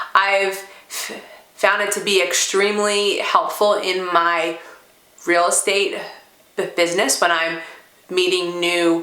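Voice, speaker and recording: Through audible room echo and noticeable background noise, a woman of medium pitch speaks at a very slow pace in monotone, flat intonation, with long, frequent pauses. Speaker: stuttering therapy participant and real estate agent. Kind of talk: testimony. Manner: stuttering with repetitions and fillers.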